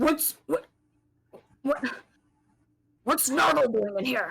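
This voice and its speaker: A loud, gruff put-on character voice speaks fairly slowly at a high pitch. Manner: surprised, demanding.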